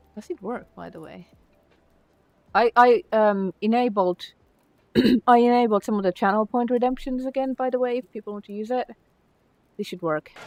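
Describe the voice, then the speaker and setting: A woman with a Finnish accent speaks at a moderate pace and a fairly high pitch, with ordinary pitch variation and big swings in loudness. Her long, frequent pauses come through in a dry, close sound with no echo. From Finland. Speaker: streamer and game modder. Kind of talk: casual livestream chat. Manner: animated.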